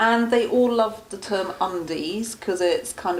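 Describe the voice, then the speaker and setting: Fairly slow speech with an English accent and ordinary pitch variation, set against noticeable background noise and audible room echo. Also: woman. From England. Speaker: charity founder. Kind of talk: interview.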